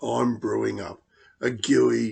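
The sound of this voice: In a put-on character voice, a man talks slowly at a medium pitch with fairly even intonation. His slightly mellow tone has a slightly husky edge and vocal fry.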